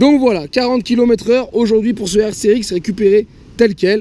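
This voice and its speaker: Speaking fairly quickly, a man uses a high pitch, a dark, mellow tone and fairly even intonation. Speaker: moped vlogger. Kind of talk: casual vlog, test ride commentary. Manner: halting, stumbling over words.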